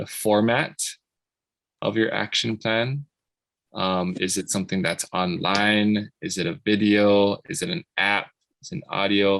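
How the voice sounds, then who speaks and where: Over a quiet background, a man with a fairly low pitch speaks at a fairly slow pace with long, frequent pauses and ordinary pitch variation, the sound dry and close with no echo. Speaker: program facilitator. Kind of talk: tutorial.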